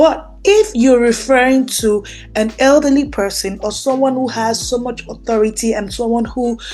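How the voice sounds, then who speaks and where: With a Nigerian accent, a woman speaks at a moderate pace in a fairly high pitch with ordinary variation. There is noticeable background noise. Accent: Nigerian (Yoruba) English. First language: Yoruba. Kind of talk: teaching monologue on scripture.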